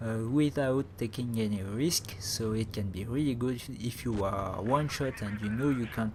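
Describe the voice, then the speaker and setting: A man at medium pitch talks at a moderate pace with ordinary pitch variation and hardly any pauses. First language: not English. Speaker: gaming commentator. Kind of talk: gameplay commentary. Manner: halting, many fillers.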